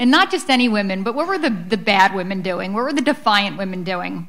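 A woman talks at a fairly quick pace, her intonation lively. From Philadelphia, US. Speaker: author; author on panel. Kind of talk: book talk. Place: hall. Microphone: podium.

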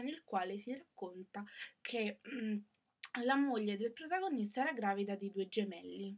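The background is quiet. A woman speaks at a fairly slow pace. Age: young. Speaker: book vlogger. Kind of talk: casual book review. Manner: hesitant, many fillers. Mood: critical, disappointed. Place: home room. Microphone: webcam.

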